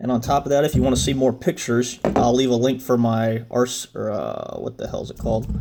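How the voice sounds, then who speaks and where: Against noticeable background noise, a man speaks at a fairly quick pace with hardly any pauses. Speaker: drone reviewer. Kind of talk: product review. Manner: halting; slurring.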